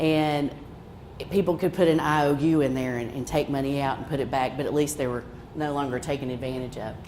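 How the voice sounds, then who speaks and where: A woman's very deep, low voice with a strong Appalachian accent, fairly even intonation and audible room echo. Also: fairly quick pace. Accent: Haywood County (Appalachian) accent, strong. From western North Carolina, Haywood County. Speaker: credit union representative. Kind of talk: presentation. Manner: casual, folksy.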